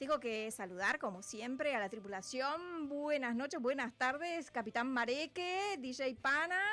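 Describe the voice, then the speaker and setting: Speaking at a fairly slow pace, a high-pitched woman raises and projects her voice with lively intonation. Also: hardly any pauses. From Uruguay. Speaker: radio host. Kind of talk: radio show chat. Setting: radio studio, televised.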